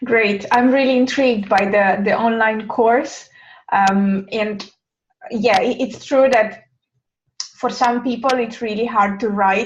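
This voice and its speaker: A woman speaks at a fairly slow pace. Her voice is somewhat breathy, with fairly even intonation. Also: fairly high pitch for a woman. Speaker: interview host. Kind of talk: interview.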